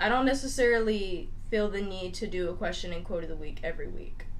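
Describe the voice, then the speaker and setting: A woman's voice with very wide pitch swings, audible room echo and noticeable background noise. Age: 20s. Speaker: podcast co-host. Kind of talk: casual chat.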